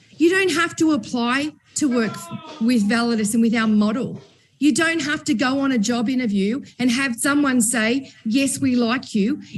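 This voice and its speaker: The voice is loud, moving at a moderate pace with ordinary pitch variation. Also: woman, high pitch for a woman. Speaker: company executive and event host. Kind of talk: panel discussion. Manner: animated.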